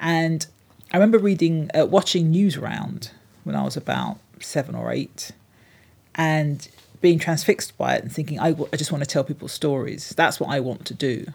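A woman talks in a London accent. Her pace is moderate. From London (Hornsey). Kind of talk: interview.

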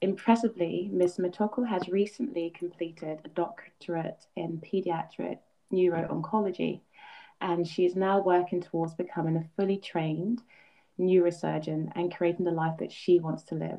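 The pace here is moderate. Intonation stays fairly even. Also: woman. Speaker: podcast host. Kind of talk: interview.

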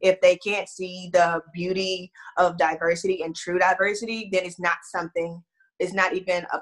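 A woman speaks at medium pitch with an American accent. Her pace is moderate. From Houston, Texas. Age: 20s.

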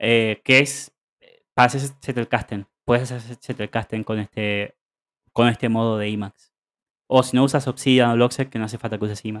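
The recording is very clean with a silent background and a dry, close sound with no echo, as a man with an Argentine accent speaks at a medium pitch and a moderate pace in a flat, monotone way. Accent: Argentine Spanish (Rioplatense). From Argentina. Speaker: podcast co-host. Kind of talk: casual chat.

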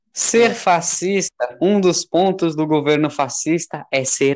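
The sound is dry and close, with no echo. Delivery is fairly slow, and the pitch varies an ordinary amount. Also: man. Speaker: amateur podcast host. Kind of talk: casual chat. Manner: loud.

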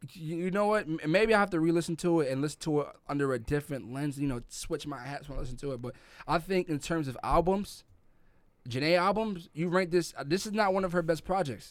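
Talking very fast in a New York accent, a man uses a fairly high pitch with ordinary pitch variation. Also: very clean recording, silent background. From New York City (Brooklyn, Crown Heights), Jamaican family. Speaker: podcast co-host. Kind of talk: casual chat.

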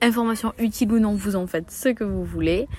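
Fairly high-pitched and lively in intonation, a woman talks at a moderate pace. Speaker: book podcaster. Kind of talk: reading vlog, casual monologue.

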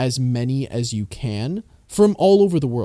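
This man has an ordinary speaking voice at a medium pitch, with a Canadian accent. His intonation is lively. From Canada. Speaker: podcast host. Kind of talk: casual chat.

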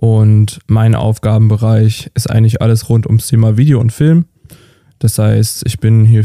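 Dark and mellow in tone, a man's medium-pitched voice moves at a moderate pace in a flat monotone, dry and close with no echo. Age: 20s. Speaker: videographer. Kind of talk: casual chat.

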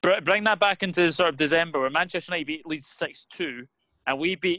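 A man's fairly high, bright, sharp voice with a Scottish accent, very fast pace, and ordinary pitch variation. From Scotland. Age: 20s. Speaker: football YouTuber. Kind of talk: casual chat.

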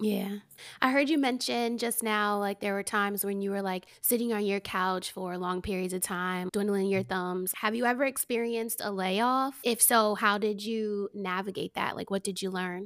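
A plain, everyday voice with an American accent at a moderate pace, fairly even intonation and hardly any pauses, on a very clean recording with a silent background. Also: woman, medium pitch for a woman. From New Jersey, US. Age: 30s. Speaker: podcast host. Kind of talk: casual interview chat; scripted introduction.

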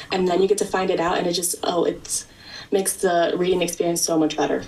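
Over light background noise, a woman does a raspy, put-on character voice at a fairly low pitch and very fast pace. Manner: enthusiastic, excited.

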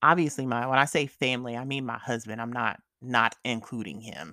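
Very clean audio with a silent background, a woman talking at a moderate pace. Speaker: podcast host. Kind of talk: casual solo update chat. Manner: casual, candid, informal; stutters at times, unedited.

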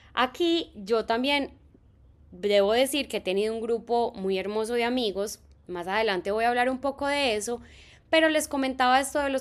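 A normal speaking voice, at a moderate pace with ordinary pitch variation, comes through in a very clean recording with a silent background. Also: woman. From Colombia, Medellín. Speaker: teacher and podcast host. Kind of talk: solo podcast narration.

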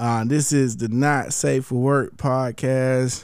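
With an American accent, a man speaks at a very slow pace. His pitch variation is ordinary. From Columbus, Georgia. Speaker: podcast host. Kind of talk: casual chat.

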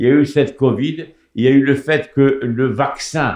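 This man talks at a fairly slow pace and medium pitch, keeping his intonation fairly even. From Morocco, Rabat. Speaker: political commentator. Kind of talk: radio talk show. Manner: halting.

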